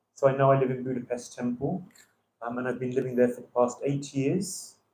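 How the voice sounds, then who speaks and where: In a London accent, a man speaks at a medium pitch. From London, England. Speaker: visiting temple speaker. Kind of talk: religious class. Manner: hesitant with many fillers.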